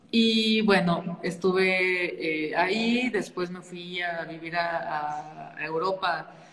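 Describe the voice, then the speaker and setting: A woman at a fairly low pitch and very slow pace, with hardly any pauses, fairly even intonation and big swings in loudness, amid noticeable background noise and audible room echo. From northern Mexico, Saltillo, Coahuila. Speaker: nonprofit founder. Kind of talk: interview.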